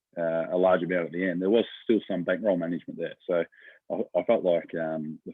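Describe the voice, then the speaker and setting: A man with a very deep, low pitch delivers his words at a fairly quick pace. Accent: Australian. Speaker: professional greyhound punter. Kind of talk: casual interview. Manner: hesitant, many fillers.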